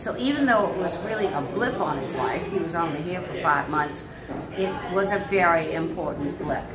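A woman is heard over loud background noise. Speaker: interviewee. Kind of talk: interview answer. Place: home room. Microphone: phone near.

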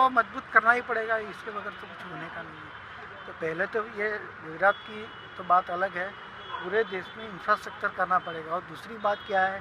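The recording is dry with no echo and has noticeable background noise, and the intonation is fairly even. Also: man. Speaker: city resident in a street interview. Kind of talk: vox-pop interview. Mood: earnest, opinionated. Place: waterside. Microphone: phone near.

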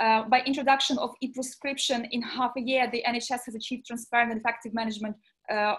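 Very fast and in a high pitch, a woman speaks with monotone, flat intonation. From Ukraine. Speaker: health agency head. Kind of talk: panel discussion. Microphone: video call.

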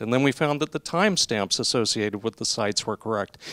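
Against a quiet background, a man talks at a fairly quick pace in an unremarkable speaking voice, medium in pitch with ordinary pitch variation. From Montana. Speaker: researcher and session chair. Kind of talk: interview. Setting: conference venue. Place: meeting room. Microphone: handheld.

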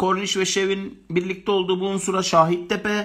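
A man projects a bright, sharp, high voice at a fairly slow pace. His intonation stays flat and monotone against a quiet background. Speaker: geography teacher running live exam-prep lessons. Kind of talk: live online lecture; lecture. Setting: home live stream, balcony door near pool music. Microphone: phone near.

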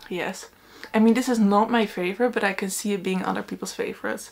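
Fairly even in intonation, a woman talks at a moderate pace. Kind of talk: casual vlog chat. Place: home room. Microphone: camera far.

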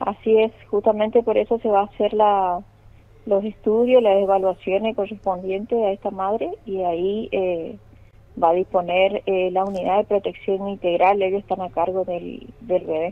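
A woman speaks at a moderate pace, her pitch medium. She has a plain, everyday voice. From Chaco, Argentina (Machagai). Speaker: police officer. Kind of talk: phone interview. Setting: phone call.

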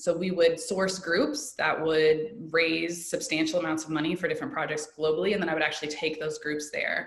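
A woman talks at a fairly quick pace in an American accent. There is noticeable background noise. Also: fairly low pitch for a woman, ordinary pitch variation, hardly any pauses. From US Midwest, Indianapolis. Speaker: yoga teacher and educator. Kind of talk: casual interview.

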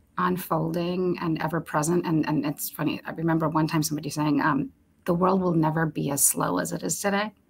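A somewhat breathy woman's voice, fairly low in pitch, with ordinary pitch variation. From Romania, moved to the US at about nine. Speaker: HR executive; guest. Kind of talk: interview.

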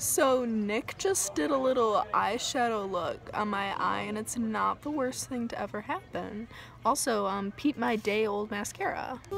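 With faint music in the background, a woman speaks at a fairly slow pace with ordinary pitch variation, the sound dry with no echo. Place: shop. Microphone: phone near.

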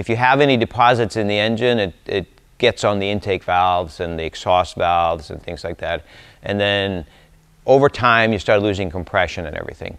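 Talking at a fairly quick pace over a quiet background, a man uses a plain, everyday voice, fairly low in pitch with ordinary pitch variation. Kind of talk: informal technical talk. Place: workshop.

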